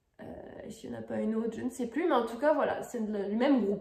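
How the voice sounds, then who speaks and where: A woman speaks with a fairly high pitch and lively intonation. Room echo is audible. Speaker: crafts video creator. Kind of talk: casual tutorial review. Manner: hesitant, many fillers.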